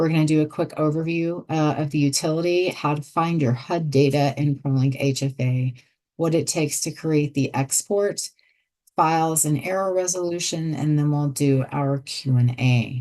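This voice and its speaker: Her pitch very deep and low, a woman speaks at a moderate pace in a dark, mellow tone with fairly even intonation. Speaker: software trainer. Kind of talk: webinar tutorial. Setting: online webinar.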